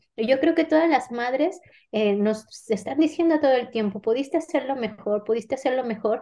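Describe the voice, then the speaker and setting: A woman's high-pitched voice with a dark, mellow tone, lively intonation and a moderate pace. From Mexico. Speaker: novelist. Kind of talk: interview.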